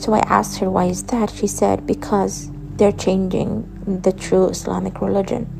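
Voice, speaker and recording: The speech moves at a moderate pace with very even loudness. Noticeable background noise is present. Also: woman. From Saudi Arabia. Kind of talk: personal testimony.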